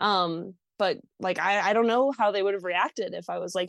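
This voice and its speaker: Her pitch sits in the medium range for a woman. She speaks at a moderate pace with fairly even intonation. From Mexico, moved to US at six or seven. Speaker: long-distance hiker. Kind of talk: interview. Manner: hesitant with many fillers.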